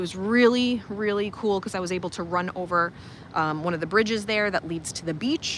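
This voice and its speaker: A woman's medium-pitched voice with ordinary pitch variation and a Long Island accent. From Long Island, New York. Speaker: life coach and teacher. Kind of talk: casual livestream chat. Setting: outdoors, walking around resort. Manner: animated.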